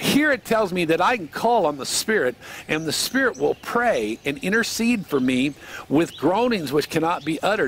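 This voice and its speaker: Speaking at a moderate pace in a high pitch, a man swings his pitch very widely over light background noise, with a dry sound and no echo. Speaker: cowboy preacher / devotional speaker. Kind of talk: sermon / devotional teaching. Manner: earnest, conversational. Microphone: headset.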